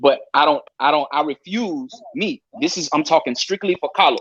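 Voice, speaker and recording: The recording is dry and close, with no echo. It captures a man speaking. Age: 40s. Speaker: live-stream panel guest. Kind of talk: casual chat. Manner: halting.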